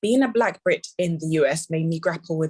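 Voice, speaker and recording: Speaking at a fairly quick pace, a woman has a fairly low pitch. Her voice is somewhat breathy, with ordinary pitch variation. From England, Ghanaian heritage. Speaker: literacy professor. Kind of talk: conference presentation. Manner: reading prepared text.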